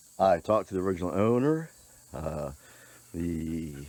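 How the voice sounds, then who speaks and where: This man has a very deep, low pitch with vocal fry and a dark, mellow tone. His pitch varies in an ordinary way at a moderate pace. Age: 60s. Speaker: YouTuber restoring an old truck. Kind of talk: casual vlog walkthrough. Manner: halting, many fillers.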